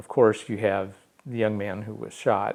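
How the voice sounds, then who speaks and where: Intonation remains fairly even throughout. The delivery keeps a moderate pace. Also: man. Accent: US Midwestern. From St. Louis area, Missouri. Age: 60s. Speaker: technical editor and writer. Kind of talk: interview. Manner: halting, many fillers.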